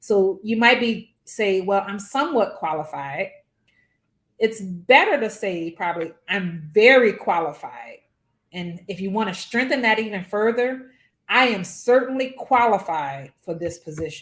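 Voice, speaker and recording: A woman speaks with a New Orleans accent at a medium pitch. Her intonation is lively. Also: fairly slow pace. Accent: New Orleans drawl. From New Orleans, US South. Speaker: physics professor. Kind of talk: workshop lecture.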